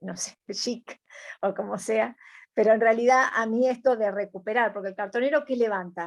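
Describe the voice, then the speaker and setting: In an Argentine accent, a woman with a fairly high pitch speaks with fairly even intonation over a quiet background. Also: moderate pace. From Argentina. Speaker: environmentalist. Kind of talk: interview answer.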